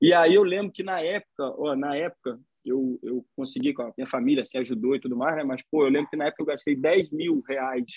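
A man with a Carioca accent, fairly high pitch, a fairly quick pace, and hardly any pauses. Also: ordinary pitch variation. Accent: carioca Brazilian Portuguese. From Rio de Janeiro, Brazil. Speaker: podcaster. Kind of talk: casual chat.

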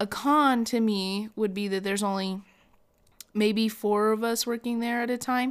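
This woman talks at a moderate pace with fairly even intonation. She has a normal speaking voice, pitched fairly high. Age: young. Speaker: podcast co-host, restaurant server. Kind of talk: casual chat.

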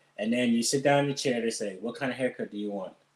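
A very fast-talking man at a medium pitch. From Allentown, Pennsylvania. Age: 30s. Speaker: barber. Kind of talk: casual interview.

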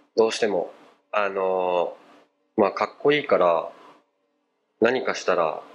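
The speaker moves at a fairly slow pace, with long, frequent pauses. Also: man. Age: 20s. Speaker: rapper and model. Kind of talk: casual interview.

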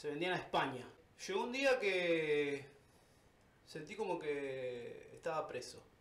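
In a room with audible echo, a man with a high-pitched voice and lively intonation speaks at a very slow pace, with long, frequent pauses. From Argentina. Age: 30s. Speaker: tattoo artist. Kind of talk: casual interview.

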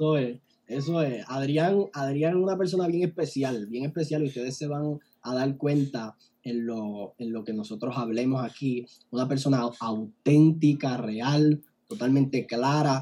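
Speaking at a fairly slow pace, a man uses a medium pitch with ordinary variation and a dark, mellow tone. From Puerto Rico, Barranquitas. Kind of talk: casual interview chat. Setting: online video call. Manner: animated.

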